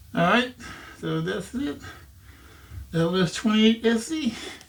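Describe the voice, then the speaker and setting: Music plays in the background as a man talks. His pace is fairly slow and his pitch variation ordinary. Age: 60s. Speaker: audio equipment YouTuber. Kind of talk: casual product review to camera. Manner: casual, halting with fillers.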